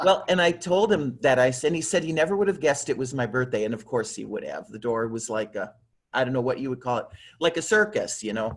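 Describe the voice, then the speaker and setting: A man at a very fast pace, his pitch swinging very widely. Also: medium pitch for a man. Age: 60s. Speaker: fan on a video chat. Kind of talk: casual chat. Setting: video call.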